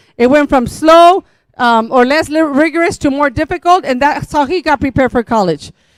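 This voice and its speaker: In a Spanish accent, a woman speaks with a dry, close sound and no echo. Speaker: school district administrator. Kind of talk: public meeting presentation.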